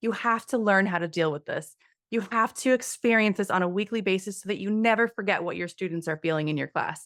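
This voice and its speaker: On a very clean recording with a silent background, a woman speaks at a very fast pace in a medium pitch. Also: ordinary pitch variation. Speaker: ballet teacher. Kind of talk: interview. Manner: soft-spoken.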